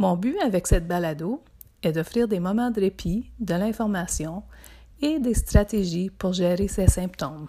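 Recorded very cleanly against a silent background, a woman at medium pitch speaks at a fairly slow pace in a calm, dark, mellow tone that is somewhat breathy, with ordinary pitch variation. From northern Ontario (Témiscamingue). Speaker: psychotherapist and podcast host. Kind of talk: podcast introduction.

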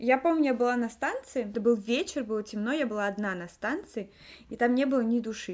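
At a fairly quick pace, a woman speaks in a fairly high pitch with ordinary pitch variation. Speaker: podcast co-host. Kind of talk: casual chat. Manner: talkative.

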